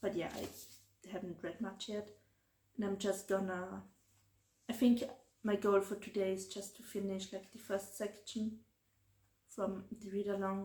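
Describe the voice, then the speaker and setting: A woman with a German accent talks at a moderate pace in a flat, monotone way, leaving long, frequent pauses. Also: medium pitch for a woman. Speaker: book vlogger. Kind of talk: casual vlog. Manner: hesitant, many fillers.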